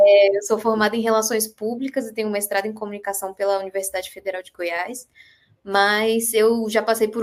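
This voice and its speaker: A woman speaks at a fairly quick pace in a fairly high, monotone voice with flat intonation, her loudness swinging widely. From Brazil, Brasília. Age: 20s. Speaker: screenwriter. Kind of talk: casual chat.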